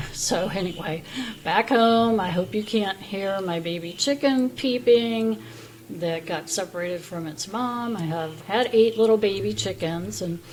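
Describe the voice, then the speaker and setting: A woman's medium-pitched voice with ordinary pitch variation, set against noticeable background noise. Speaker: vlogger. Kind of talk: testimony. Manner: halting.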